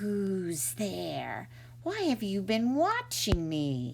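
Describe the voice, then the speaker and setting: A put-on character voice hisses at a very slow pace. Clear background noise is present. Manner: hissing, suspicious.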